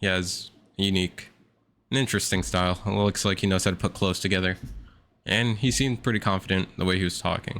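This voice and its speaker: On a very clean recording with a silent background, a man speaks at a fairly quick pace with very even loudness and fairly even intonation. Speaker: streamer reacting to a dating show. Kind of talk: live reaction commentary. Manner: monotone; casual slangy.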